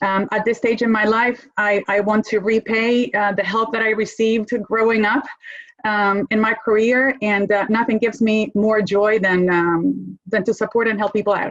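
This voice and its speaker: A fairly high-pitched woman with a Spanish accent, monotone and flat in intonation, at a moderate pace and very even loudness. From Argentina. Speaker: corporate lawyer. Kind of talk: panel discussion.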